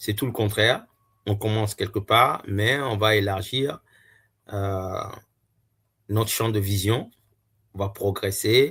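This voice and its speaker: The pace is very slow, broken by long, frequent pauses. Intonation stays fairly even. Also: man, fairly low pitch for a man. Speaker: YouTuber reviewing books. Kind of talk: casual book review monologue. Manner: hesitant, many filler sounds.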